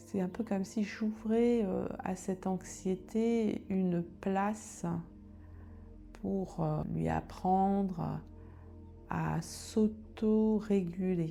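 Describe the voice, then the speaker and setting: Over background music, a woman speaks in a calm, soothing tone. Her pace is very slow, with long, frequent pauses. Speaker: meditation guide. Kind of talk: guided meditation. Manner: calm, slow, soothing.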